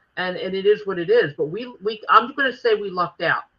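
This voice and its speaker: A woman with a Philadelphia accent at a moderate pace. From Philadelphia, North Philly. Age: 60s. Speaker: former wrestling promoter. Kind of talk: interview.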